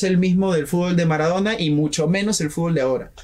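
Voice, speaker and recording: Talking at a very fast pace, a man uses a high pitch with ordinary pitch variation. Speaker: student radio host. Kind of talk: radio interview, casual chat. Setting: radio studio. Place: studio.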